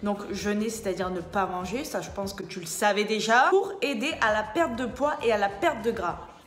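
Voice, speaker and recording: A woman's fairly high, lively voice with audible room echo and music in the background. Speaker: personal trainer. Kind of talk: casual explainer vlog. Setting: indoors. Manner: loud; animated.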